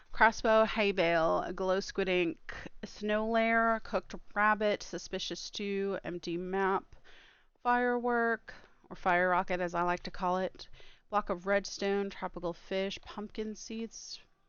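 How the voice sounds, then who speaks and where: Here is a woman with an ordinary speaking voice at a medium pitch. She talks at a fairly slow pace with fairly even intonation and big swings in loudness. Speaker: streamer. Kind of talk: live gaming stream chat.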